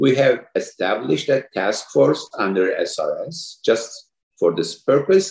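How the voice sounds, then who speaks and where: A man with a Turkish accent. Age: 50s. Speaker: orthopedic spine surgeon, society president. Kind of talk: interview.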